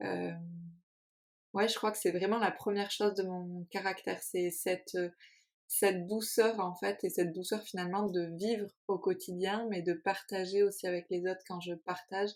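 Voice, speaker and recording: A very clean recording with a silent background, a woman's voice in a flat monotone. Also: medium pitch for a woman, moderate pace. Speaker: podcast co-host. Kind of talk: casual chat. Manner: calm.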